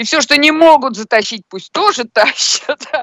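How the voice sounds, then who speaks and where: A woman's bright, sharp voice with very wide pitch swings, dry and close with no echo. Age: old. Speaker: amateur poker streamer. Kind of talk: casual chat.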